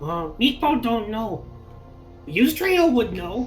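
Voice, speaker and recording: Clear music plays behind a put-on character voice pitched fairly high, moving at a fairly slow pace with very wide pitch swings. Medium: actual play. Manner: broken pidgin English, halting, nervous.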